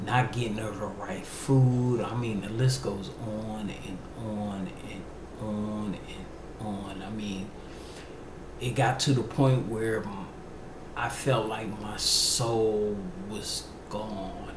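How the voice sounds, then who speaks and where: Very slow speech from a man with a slight DC accent, fairly low in pitch and fairly even, with long, frequent pauses, audible room echo and noticeable background noise. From Washington DC, US East Coast. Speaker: podcast host. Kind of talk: personal testimony. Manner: halting.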